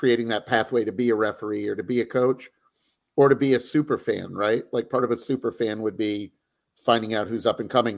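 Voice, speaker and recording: Here a man uses a normal speaking voice with fairly even intonation. The recording is very clean, with a silent background. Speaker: youth rugby administrator. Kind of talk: casual interview.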